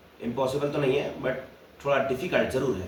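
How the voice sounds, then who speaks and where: There is noticeable background noise. Room echo is also audible. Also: man. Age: 30s. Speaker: video blogger. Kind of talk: casual monologue.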